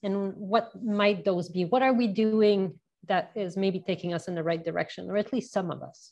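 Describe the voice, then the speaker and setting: Speaking with a Canadian accent, a woman has a plain, everyday voice at medium pitch, with ordinary pitch variation and a moderate pace. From Canada. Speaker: podcast host. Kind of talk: interview.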